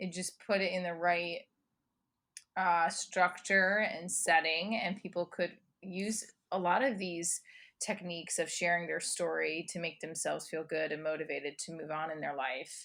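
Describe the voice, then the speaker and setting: In a New Jersey accent, a woman with a fairly low pitch and a bright, sharp tone speaks at a moderate pace on a very clean recording with a silent background. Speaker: comedian, performer, educator. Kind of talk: interview answer. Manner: energetic.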